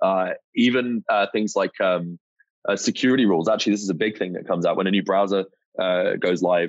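Here a man speaks with a British accent at a fairly low pitch. His pace is fairly quick and his intonation fairly even. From UK. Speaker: startup co-founder and CEO. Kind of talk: casual interview chat.

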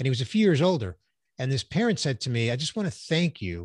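A man with a medium pitch speaks in a somewhat breathy voice. The sound is dry and close with no echo, over a quiet background. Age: 60s. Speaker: business executive and voice actor. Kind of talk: casual interview.

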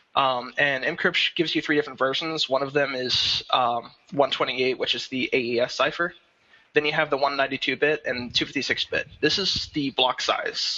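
In an ordinary speaking voice, the speaker talks at a fairly slow pace with fairly even intonation. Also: man, fairly high pitch for a man. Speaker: security and cryptography developer. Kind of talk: casual panel discussion. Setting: video call.

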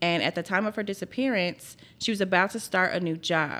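A woman speaks at a fairly quick pace with a Southern US accent and fairly even intonation. Her tone is bright and sharp, on a very clean recording with a silent background. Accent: Southern US, country. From Memphis, Tennessee. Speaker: podcast co-host. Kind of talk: true crime storytelling; scripted outro reading. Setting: studio.

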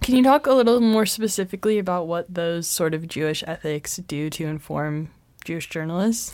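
With an unremarkable speaking voice, a woman talks at a fairly quick pace in a fairly low pitch, her intonation lively. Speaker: university student interviewer. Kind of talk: interview.

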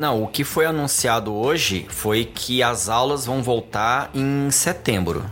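Speaking at a very slow pace, a man keeps his loudness very even with hardly any pauses. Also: medium pitch for a man, ordinary pitch variation. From Goiânia, Brazil. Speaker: podcast host. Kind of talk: casual interview.

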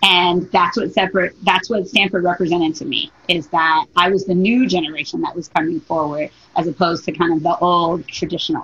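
Here is a plain, everyday voice from a woman with an American accent, pitched fairly low. She talks at a fairly quick pace with hardly any pauses. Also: ordinary pitch variation. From Detroit, Michigan. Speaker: diversity and inclusion consultant. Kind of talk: interview.

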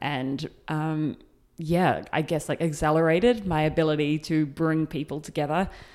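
A woman with a New Zealand accent, fairly low in pitch, at a moderate pace, on a very clean recording with a silent background. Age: 30s. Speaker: community founder. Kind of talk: interview. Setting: in person recording.

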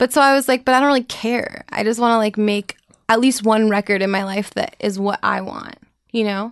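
Against a quiet background, a woman with a normal speaking voice and an American accent talks at a fairly quick pace with a fairly high pitch and fairly even intonation. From New York City, then small-town Minnesota. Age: 20s. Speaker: singer-songwriter. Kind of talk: casual interview chat. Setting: studio.

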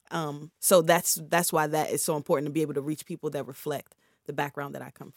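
Talking at a very fast pace, a woman with an American accent and a very deep, low pitch keeps her intonation fairly even, her loudness swinging widely in a dry, close, very clean recording with no echo and a silent background. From Prince George's County, Maryland. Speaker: investor and music label owner. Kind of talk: casual interview. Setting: studio.

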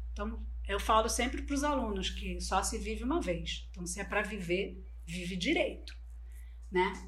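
Audible room echo and noticeable background noise around a woman at a moderate pace. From Brazil, Bolivian family. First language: Spanish (speaking Portuguese). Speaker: online course entrepreneur. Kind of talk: interview.

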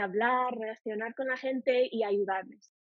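Her pitch high and her intonation fairly even, a woman with an English accent talks at a fairly slow pace. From United States. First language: English (speaking Spanish). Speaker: language teacher. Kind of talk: interview. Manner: halting.

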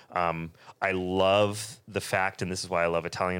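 An American accent with fairly even intonation on a very clean recording with a silent background. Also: man. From California, Bay Area. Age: 40s. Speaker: chef and restaurant owner. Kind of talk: casual chat.

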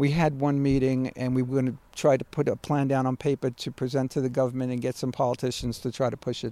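In a Brooklyn accent, a man talks at a very fast pace with hardly any pauses, using a monotone, flat intonation, a medium pitch and a dark, mellow tone, on a very clean recording with a silent background and a dry, close sound with no echo. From Brooklyn, New York. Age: 60s. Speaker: builder and community activist. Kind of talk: casual chat. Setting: outdoors in backyard orchard.

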